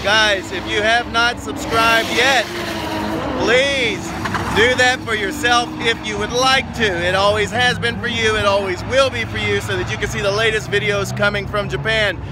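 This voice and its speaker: Over loud background noise, a man talks in a dry sound with no echo. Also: moderate pace. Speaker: vlogger. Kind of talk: casual vlog chat. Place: open country. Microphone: phone near.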